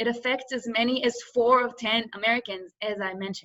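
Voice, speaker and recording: Bright, sharp tone with an Israeli accent, a moderate pace and ordinary pitch variation. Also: woman. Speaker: business student and workshop presenter. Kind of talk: workshop presentation.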